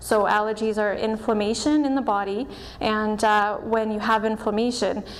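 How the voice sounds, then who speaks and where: Audible room echo surrounds a woman's voice. She speaks at medium pitch and a moderate pace. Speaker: doctor of Chinese medicine and acupuncturist. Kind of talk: presentation. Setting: stage with audience.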